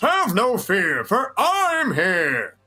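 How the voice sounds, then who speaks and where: A put-on character voice, pitched fairly high, swings very widely up and down in pitch. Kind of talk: theatrical.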